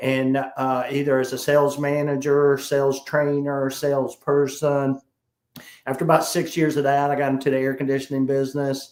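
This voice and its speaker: Speaking in a South Carolina accent, a man keeps a moderate pace. His pitch is fairly high and his intonation monotone and flat. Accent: Southern US, South Carolina. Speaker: sales trainer. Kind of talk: interview.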